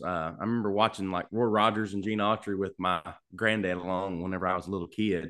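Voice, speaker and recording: In a Kentucky accent, a man talks very fast at a fairly low pitch. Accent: Southern US (Kentucky). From Kentucky, US. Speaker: singer-songwriter. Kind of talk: casual interview chat. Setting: video call from home studio.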